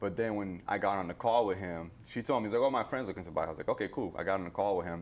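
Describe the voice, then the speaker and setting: Barely pausing, a man talks at a very fast pace in a fairly low pitch, with ordinary pitch variation over a quiet background. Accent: slight Cape Verdean. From Cape Verde, raised in New Bedford, Massachusetts from age nine. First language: Cape Verdean Creole. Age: 30s. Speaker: realtor and Marine veteran. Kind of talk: interview. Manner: casual, conversational.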